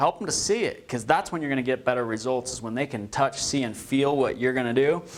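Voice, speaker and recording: A man with a fairly high pitch speaks in an energetic tone with ordinary pitch variation. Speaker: real estate trainer. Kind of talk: training class discussion. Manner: fast.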